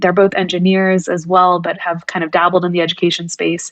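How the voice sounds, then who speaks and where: With a Californian accent, a woman speaks at a medium pitch. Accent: Californian American. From US West Coast, California Bay Area. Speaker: tech executive. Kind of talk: podcast interview. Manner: halting, many fillers.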